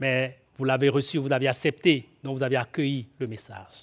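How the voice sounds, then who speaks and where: At a moderate pace and a fairly high pitch, a man talks in an ordinary speaking voice, in a very clean recording with a silent background. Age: 40s. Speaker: guest preacher. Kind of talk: sermon; prayer. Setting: church.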